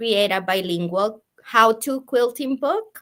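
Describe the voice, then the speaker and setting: A woman with a bright, sharp tone and a Spanish accent, in a very clean recording with a silent background. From Colombia. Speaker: sewing and quilting teacher. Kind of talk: casual interview. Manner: halting.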